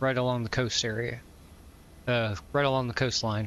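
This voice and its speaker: A man speaks in a relaxed tone at a medium pitch with a slight Southern US accent. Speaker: flight sim streamer. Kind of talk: casual live-stream commentary. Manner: relaxed, with fillers.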